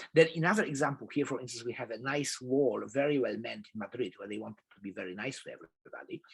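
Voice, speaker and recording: A man with a Polish accent talks at a fairly quick pace with ordinary pitch variation. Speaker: professor. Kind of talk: lecture. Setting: video call.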